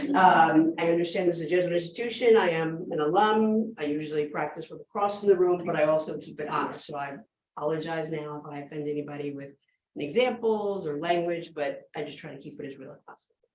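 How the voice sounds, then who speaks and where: Talking at a very fast pace, a woman with a fairly low pitch and ordinary pitch variation shows big swings in loudness amid audible room echo. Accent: American. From New York City. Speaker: business professor. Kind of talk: keynote lecture.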